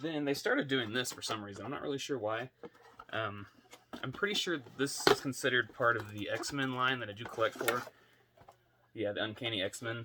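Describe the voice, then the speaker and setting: Fairly quick speech broken by long, frequent pauses, over noticeable background noise. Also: man, medium pitch for a man, ordinary pitch variation. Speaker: toy collector YouTuber. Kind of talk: casual unboxing vlog. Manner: quiet, kept down for sleeping baby; hesitant, many fillers.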